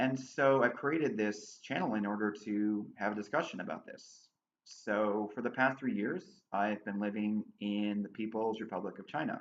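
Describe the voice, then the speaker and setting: A man has an ordinary speaking voice, fairly low in pitch, with ordinary pitch variation at a moderate pace. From USA. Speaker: political commentator, channel owner. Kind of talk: monologue to camera.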